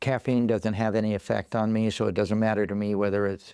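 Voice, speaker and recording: In a dry, close sound with no echo, a man talks at a fairly quick pace, his fairly low voice monotone with flat intonation. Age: 70s. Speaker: podcast guest. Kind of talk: casual chat. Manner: halting.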